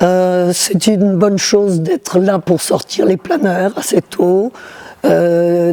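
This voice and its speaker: A woman speaks very slowly at a medium pitch over noticeable background noise. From southern France, Toulouse. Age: 80s+. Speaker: glider pilot. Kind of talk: interview testimony. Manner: halting.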